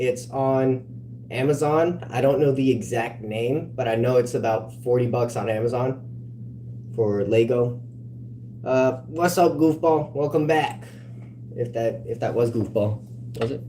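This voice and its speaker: A man with an American accent talks at a fairly slow pace with long, frequent pauses, amid audible room echo and noticeable background noise. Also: medium pitch for a man, fairly even intonation. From California. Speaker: livestreamer. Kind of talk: casual livestream chat.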